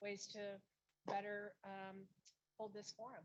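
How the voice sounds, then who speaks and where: A woman's medium-pitched voice moves along at a moderate tempo. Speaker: event organizer. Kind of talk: closing remarks at a forum. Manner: loud.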